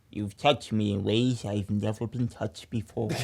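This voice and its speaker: A man uses a put-on character voice. It sits at a fairly low pitch and moves at a moderate pace. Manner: cartoonish, impression of a Futurama water person.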